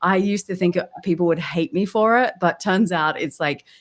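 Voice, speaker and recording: A woman's medium-pitched voice at a moderate pace, with an Australian accent, in a very clean recording with a silent background. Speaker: LinkedIn B2B growth strategist. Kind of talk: casual interview chat. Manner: animated.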